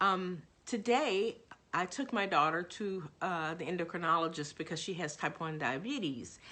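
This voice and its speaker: Against a quiet background, a woman speaks with a fairly low pitch and a bright, sharp tone. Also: lively intonation, moderate pace. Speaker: religion professor. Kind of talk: course introduction monologue. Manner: halting, many fillers.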